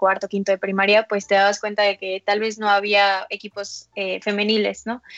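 A woman uses a normal speaking voice at a medium pitch. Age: 20s. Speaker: women's football press officer. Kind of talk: interview.

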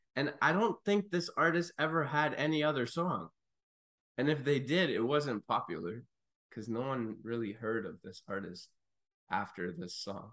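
A man speaks at a fairly high pitch with vocal fry. His pitch swings very widely, and his pace is moderate. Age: 30s. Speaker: podcast guest, music fan. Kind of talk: casual chat.

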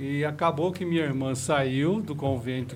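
Delivered at a fairly slow pace, the speech comes with noticeable background noise and audible room echo. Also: man. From Osasco, São Paulo. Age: 60s. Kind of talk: casual interview chat.

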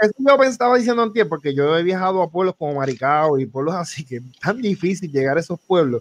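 A man talks very fast in a high pitch, with very wide pitch swings and hardly any pauses. The recording is dry and close, with no echo. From Puerto Rico, Florida municipality. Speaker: podcast co-host. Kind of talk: casual chat.

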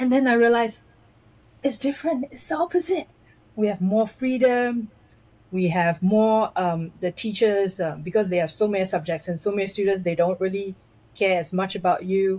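In a very clean recording with a silent background, a woman's somewhat breathy, dark and mellow voice moves at a moderate pace with ordinary pitch variation. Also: medium pitch for a woman. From Malaysia, schooled in Singapore. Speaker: personality coach. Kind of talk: interview conversation. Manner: halting, many fillers.

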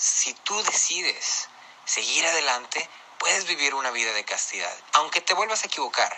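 A man's lively intonation and moderate pace come through over noticeable background noise. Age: 20s. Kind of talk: testimony. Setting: pre-recorded audio message.

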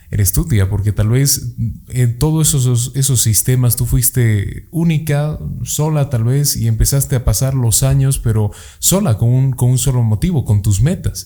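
A man's medium-pitched, dark, mellow, somewhat breathy voice at a moderate pace with ordinary pitch variation. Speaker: podcast host. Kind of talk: casual interview. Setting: studio.

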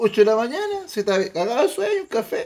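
A man talks at a moderate pace in a northern Chilean accent. His high voice has an animated tone and very wide pitch swings. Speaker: podcast host. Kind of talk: casual chat among friends.

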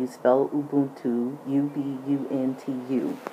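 A woman's very deep, low voice with an American accent and a monotone, flat intonation, over noticeable background noise. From US, military family moving around. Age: 60s. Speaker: podcast host. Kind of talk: personal monologue.

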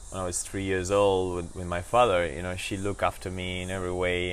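Speech comes at a fairly quick pace in a Spanish accent. Audible room echo surrounds it. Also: man. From Argentina, Buenos Aires. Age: 40s. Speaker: actor and entrepreneur. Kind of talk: casual interview. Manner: halting.

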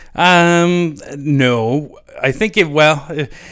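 A man speaks with a western Canadian accent. The recording is very clean, with a silent background. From Canada, Lloydminster area (Saskatchewan/Alberta border). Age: 30s. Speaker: former hockey player. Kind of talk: casual interview.

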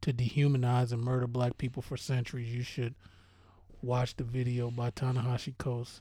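A man's somewhat breathy, medium-pitched voice moves along at a moderate pace. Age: 40s. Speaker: podcast co-host. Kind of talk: casual chat.

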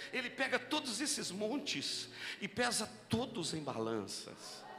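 At a fairly slow pace, a man talks amid audible room echo and noticeable background noise. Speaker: pastor. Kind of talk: sermon. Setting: church.

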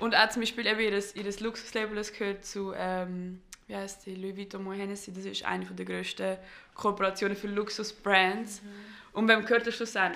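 Her medium-pitched voice stays flat and monotone. The woman's loudness swings widely from moment to moment. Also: moderate pace. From Switzerland, Gambian family. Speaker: podcast host. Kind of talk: casual interview. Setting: studio.

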